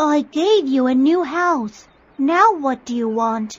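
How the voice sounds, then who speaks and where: In a put-on character voice, the speaker proceeds at a fairly slow pace. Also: female-sounding voice, high pitch for a woman. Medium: read story.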